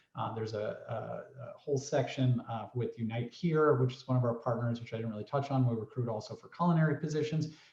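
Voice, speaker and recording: This man talks at a very fast pace with hardly any pauses, his voice somewhat breathy and medium in pitch. His loudness swings widely while his pitch varies in an ordinary way. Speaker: workforce program representative. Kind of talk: presentation in a virtual workshop. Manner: many fillers, halting.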